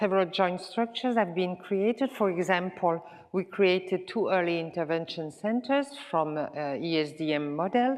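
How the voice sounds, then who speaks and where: Speaking at a moderate pace with a Swiss French accent, a woman uses lively intonation at a medium pitch. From French-speaking Switzerland, Lausanne. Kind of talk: conference presentation. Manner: halting with filler sounds.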